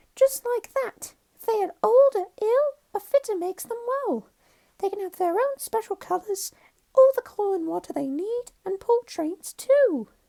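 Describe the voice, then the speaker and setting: Someone puts on a character voice at an extremely high pitch. It sounds squeaky. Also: moderate pace. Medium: read story. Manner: earnest, eager.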